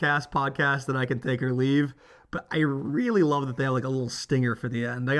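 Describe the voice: Fairly even intonation in plain reading aloud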